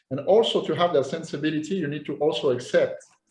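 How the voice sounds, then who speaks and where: In a French accent, a man speaks with a somewhat breathy voice. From France. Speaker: posing coach. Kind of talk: interview. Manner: halting, repeats words.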